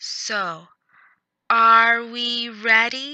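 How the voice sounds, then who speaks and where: A female-sounding, put-on character voice, fairly high in pitch, raised and projected over a quiet background. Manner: showy, hyping up a crowd.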